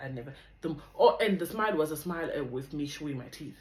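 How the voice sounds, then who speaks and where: The speech goes at a moderate pace with ordinary pitch variation. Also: woman. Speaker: vlogger. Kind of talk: testimony.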